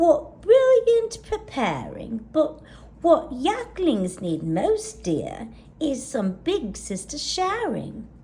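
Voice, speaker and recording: A woman puts on a character voice, high and with very wide pitch swings. She goes at a very slow pace over light background noise. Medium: read story. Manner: kindly, soothing.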